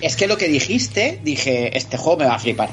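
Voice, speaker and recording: Over noticeable background noise, a man talks at a fairly quick pace, his fairly high pitch making very wide swings. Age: 40s. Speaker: video game commentator. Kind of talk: casual chat. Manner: animated.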